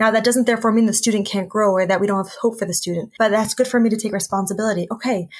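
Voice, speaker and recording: Very fast, somewhat breathy speech in an American accent, fairly even in intonation with hardly any pauses, on a very clean recording with a silent background. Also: woman, fairly high pitch for a woman. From United States. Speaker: speech therapist and social worker. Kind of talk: interview.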